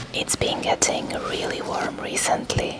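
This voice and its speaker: A whisper at a fairly slow pace. Noticeable background noise is present. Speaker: parent. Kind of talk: whispered ASMR vlog narration. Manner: whispered.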